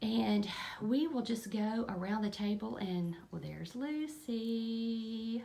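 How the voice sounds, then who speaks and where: Speaking very slowly in a Kentucky accent, a woman with a fairly high pitch and ordinary pitch variation is heard with audible room echo and noticeable background noise. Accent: US Southern (Kentucky). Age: 50s. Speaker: lifestyle vlogger and eBay reseller. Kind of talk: casual vlog talk.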